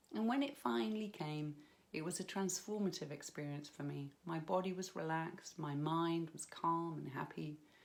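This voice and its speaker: With a British accent, a woman talks at a moderate pace in a very deep, low pitch, her pitch varying in an ordinary way. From United Kingdom. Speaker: hypnobirthing practitioner. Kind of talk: personal story to camera.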